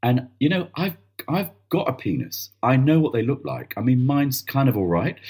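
Using lively intonation, a man speaks at a moderate pace in a somewhat breathy, medium-pitched voice. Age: 50s. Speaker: theatre director. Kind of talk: casual chat.

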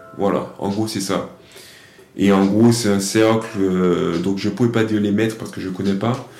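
Over music in the background and audible room echo, a man with a fairly low pitch speaks at a moderate pace in a monotone, flat intonation. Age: 20s. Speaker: discus thrower and podcast host. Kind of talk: solo monologue answering own questions. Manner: hesitant, with many fillers.

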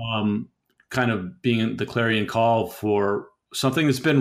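A man with a plain, everyday voice speaks at a moderate pace, his medium pitch showing ordinary variation. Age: 50s. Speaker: podcast host. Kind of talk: interview.

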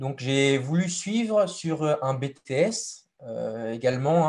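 A man with a somewhat breathy voice at a fairly high pitch. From western France, Deux-Sèvres. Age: 20s. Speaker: apprentice livestock farmer. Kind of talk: interview. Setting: live stream.

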